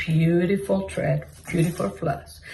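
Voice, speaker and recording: A woman talks at a fairly low pitch with a Mexican accent and ordinary pitch variation. Background noise is noticeable. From Mexico. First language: Spanish. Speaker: cross-stitch vlogger. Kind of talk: casual chat. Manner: halting.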